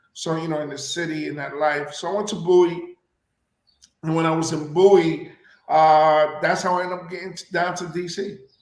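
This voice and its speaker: Delivered at a moderate pace with flat, monotone intonation, the speech swings widely in loudness against audible room echo. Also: man, high pitch for a man. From Puerto Rico. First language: Spanish. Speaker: actor and radio personality. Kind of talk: interview.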